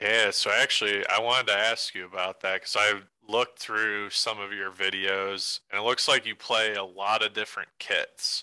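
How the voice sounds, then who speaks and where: A man with an American accent talks at a moderate pace in a fairly low pitch, bright and sharp in tone, with monotone, flat intonation. The background is quiet. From Cleveland, Ohio; Ohio. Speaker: podcast co-host. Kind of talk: casual interview chat. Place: home room. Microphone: studio mic.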